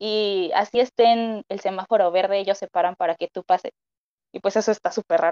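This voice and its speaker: Fairly quick, fairly even speech from a woman of medium pitch, dark and mellow in tone, the sound dry and close with no echo. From Mexico. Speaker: nutrition student. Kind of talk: casual chat.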